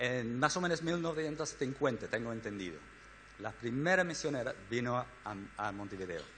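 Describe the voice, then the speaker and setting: Bright, sharp tone at a moderate pace with lively intonation and audible room echo. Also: man. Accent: Spanish. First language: English (speaking Spanish). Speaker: missionary organization director. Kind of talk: church talk. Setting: church. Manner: halting.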